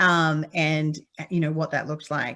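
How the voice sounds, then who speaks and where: A woman's fairly low voice with a slight Australian accent, fairly quick in pace, on a very clean recording with a silent background. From Western Australia, Perth. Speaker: petroleum engineer, consultant. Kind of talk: conference talk. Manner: frequent filler words (um).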